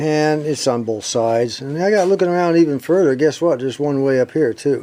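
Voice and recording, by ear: In a dark, mellow tone, the man talks at a moderate pace.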